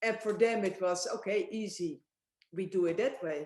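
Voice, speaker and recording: This woman has a dark, mellow tone. She speaks with a Dutch accent. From Netherlands. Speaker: winemaker. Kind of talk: casual chat.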